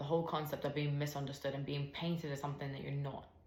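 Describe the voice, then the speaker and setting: Through noticeable background noise and audible room echo, a woman speaks at a very deep, low pitch. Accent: American. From United States. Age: 20s. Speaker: podcast host. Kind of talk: personal testimony. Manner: bubbly.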